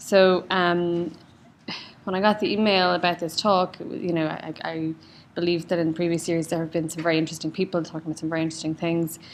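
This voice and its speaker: A woman talks very fast in an Irish accent. Her pitch is fairly low and her intonation monotone and flat. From Ireland, County Louth. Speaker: cardiologist. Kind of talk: lecture.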